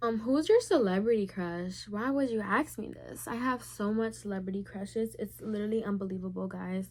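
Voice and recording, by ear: This woman has a medium pitch, a slightly mellow tone and ordinary pitch variation, talking at a moderate pace.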